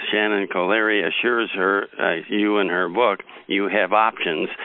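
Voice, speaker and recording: This is a man with an unremarkable speaking voice and fairly low pitch. He talks at a moderate pace. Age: 50s. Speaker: podcast host. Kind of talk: interview.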